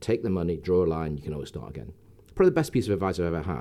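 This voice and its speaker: This voice has a dark, mellow tone and an English accent. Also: man. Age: 60s. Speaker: entrepreneur. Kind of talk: interview. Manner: halting.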